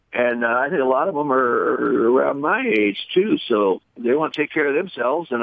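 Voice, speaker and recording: Speaking at a moderate pace with hardly any pauses, a man with a fairly high pitch uses lively intonation and very even loudness. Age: 60s. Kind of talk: interview. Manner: halting, many fillers.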